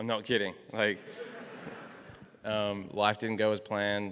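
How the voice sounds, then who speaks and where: With an Australian accent, a man talks at a moderate pace in a fairly low, monotone, flat voice. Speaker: professional golfer. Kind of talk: testimony.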